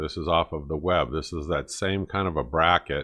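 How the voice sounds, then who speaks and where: Against a quiet background, a man speaks with a very deep, low pitch. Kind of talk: casual vlog chat. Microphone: webcam.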